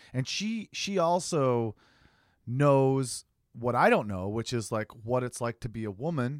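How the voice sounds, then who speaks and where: On a very clean recording with a silent background, a man talks, his pitch varying in an ordinary way. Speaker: podcast host. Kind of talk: casual chat. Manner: animated.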